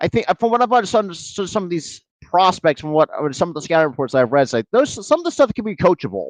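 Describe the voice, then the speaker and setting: Against a quiet background, a man speaks very fast in a high voice with very wide pitch swings, the sound dry and close with no echo. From New Jersey. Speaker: sports podcaster doing live play-by-play. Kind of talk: live play-by-play commentary stream. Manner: fast, with words running together; halting, many restarts and fillers.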